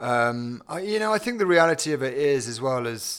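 Lively intonation and a moderate pace mark this British accent, heard on a very clean recording with a silent background. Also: man. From England. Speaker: company CEO. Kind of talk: interview.

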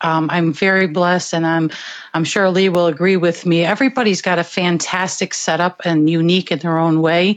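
Her pitch is fairly low for a woman, in an ordinary speaking voice. She keeps a moderate pace. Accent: American. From US Connecticut. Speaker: guest DJ on phone. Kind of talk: casual chat promoting her show. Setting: phone call.

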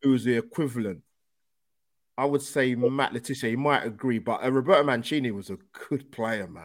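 A man with a London accent at medium pitch and a fairly quick pace, ordinary in pitch variation but with big swings in loudness, on a very clean recording with a silent background. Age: 20s. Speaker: YouTube football podcast host. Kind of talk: casual interview chat. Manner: energetic.

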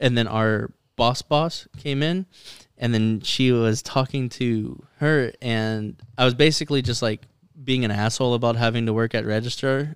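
This is a man with a normal speaking voice at medium pitch. His intonation stays fairly even. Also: moderate pace. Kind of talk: casual chat. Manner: profane, joking.

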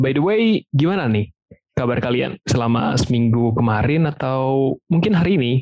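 A man talks at a moderate pace in a normal speaking voice. His pitch is medium and his loudness very even. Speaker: podcast host. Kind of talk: casual Jakarta slang mixed with English.

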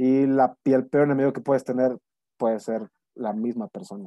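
Speaking at a fairly slow pace, a man with a medium-pitched voice keeps his intonation fairly even. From Monterrey, Nuevo León, Mexico. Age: 30s. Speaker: actor. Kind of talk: casual interview. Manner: halting, many repetitions and fillers.

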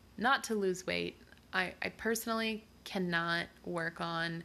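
A woman speaks with an American accent at a fairly low pitch. Her tone is bright and sharp. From US South. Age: 20s. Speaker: podcast host. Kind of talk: personal monologue; reading a recipe.

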